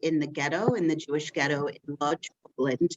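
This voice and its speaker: With a Western New York accent, a woman speaks at a moderate pace. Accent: Western New York American. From Rochester, New York, US. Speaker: community relations worker, former teacher. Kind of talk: personal testimony at a meeting. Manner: halting, many fillers.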